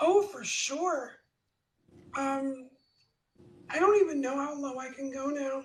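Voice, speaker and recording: Speech comes at a very slow pace with long, frequent pauses and big swings in loudness. Pitch variation is ordinary, and the room echo is audible. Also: woman, high pitch for a woman. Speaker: cybersecurity specialist. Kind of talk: casual chat. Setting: livestream.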